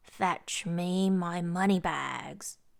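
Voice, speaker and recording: A woman's put-on character voice, gruff and growling, at a medium pitch. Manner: growling, gruff.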